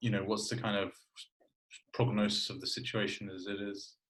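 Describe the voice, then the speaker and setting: Speaking at a moderate pace, a man sounds somewhat breathy, with fairly even intonation. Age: 20s. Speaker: podcast host, former journalist. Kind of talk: interview conversation. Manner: hesitant, many fillers.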